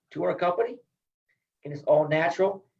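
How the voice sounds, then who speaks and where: This man has an American accent and a high voice. He speaks at a fairly quick pace. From Iowa. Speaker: retired wrestling coach. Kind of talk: interview.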